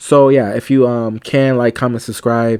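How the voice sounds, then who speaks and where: Speaking at a fairly quick pace with fairly even intonation, a man's medium-pitched voice comes through on a very clean recording with a silent background. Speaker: YouTuber reviewing TV shows. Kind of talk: casual review monologue. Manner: fast; hesitant, many fillers.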